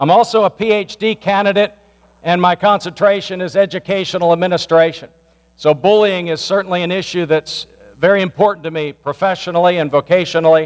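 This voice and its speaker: A loud man with a high pitch talks at a very fast pace, with ordinary pitch variation. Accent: American. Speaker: pastor. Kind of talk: community meeting address. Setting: church meeting with microphone.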